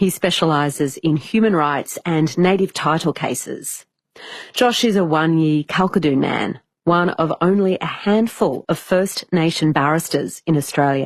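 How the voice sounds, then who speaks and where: A woman with an ordinary speaking voice talks fairly slowly at a fairly low pitch, with ordinary pitch variation and very even loudness. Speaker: radio interviewer. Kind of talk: radio interview questions.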